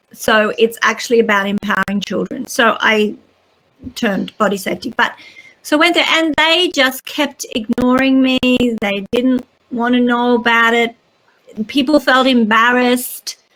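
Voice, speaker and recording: In an Australian accent, a woman speaks at a moderate pace with a high pitch and ordinary pitch variation. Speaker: children's author and teacher. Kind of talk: interview.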